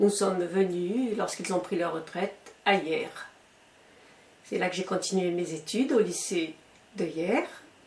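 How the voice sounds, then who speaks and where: Noticeable background noise behind a woman at a fairly slow pace, with long, frequent pauses and ordinary pitch variation. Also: medium pitch for a woman. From Algeria. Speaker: retired schoolteacher. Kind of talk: interview answer.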